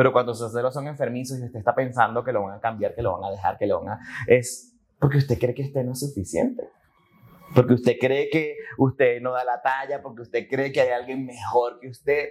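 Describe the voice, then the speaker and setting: At a fairly quick pace, a man with a plain, everyday voice speaks at a medium pitch with fairly even intonation and big swings in loudness. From Venezuela (Maturín). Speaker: life coach. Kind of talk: podcast interview. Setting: outdoors at a boutique hotel.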